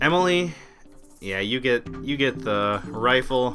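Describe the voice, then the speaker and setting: Music plays in the background. A man talks over it at medium pitch. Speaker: let's play gamer. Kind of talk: gaming commentary. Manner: casual, conversational.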